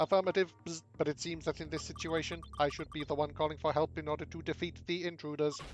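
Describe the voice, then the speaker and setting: A man's put-on character voice, fairly high in pitch, very fast and with hardly any pauses. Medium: game stream. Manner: flat, literal, buzzing.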